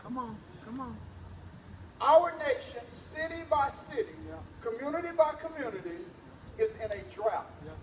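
Against light background noise and audible room echo, a man speaks in an animated tone at an extremely high pitch for a man, with very wide pitch swings, a moderate pace and long, frequent pauses. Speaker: preacher. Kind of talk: sermon to a live church congregation. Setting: church. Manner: animated, call-and-response, pauses for amens; exhortative, laughs and jokes with the congregation. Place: hall. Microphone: camera far.

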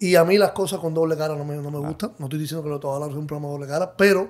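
Here a man talks with a fairly high pitch. His intonation is fairly even. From Cuba. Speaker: DJ and music producer. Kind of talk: interview.

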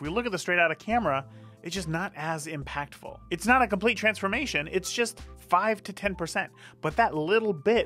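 Faint music plays behind a man whose raised, projected voice moves at a fairly quick pace. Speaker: photographer host. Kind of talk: tutorial. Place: studio. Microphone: studio mic.

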